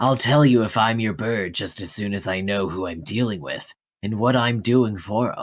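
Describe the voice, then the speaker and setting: A man's put-on character voice at medium pitch and moderate pace, on a very clean recording with a silent background. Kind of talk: noir narration. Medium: role play.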